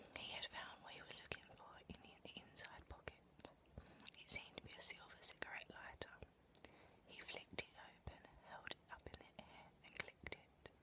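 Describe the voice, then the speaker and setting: Whispered at a moderate pace, the voice swings widely in loudness, with long, frequent pauses. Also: woman. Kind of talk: whispered audiobook reading. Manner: whispered, soft-spoken.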